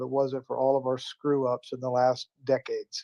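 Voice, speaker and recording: A man's fairly high, dark and mellow voice at a moderate pace, the sound dry and close with no echo. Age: 60s. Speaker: live stream talk show host. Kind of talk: reflective spiritual talk. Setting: live stream with callers.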